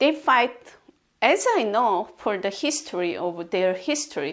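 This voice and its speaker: A woman with a non-native accent at a very slow pace. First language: not English. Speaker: video blogger. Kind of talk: casual monologue commentary. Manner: halting.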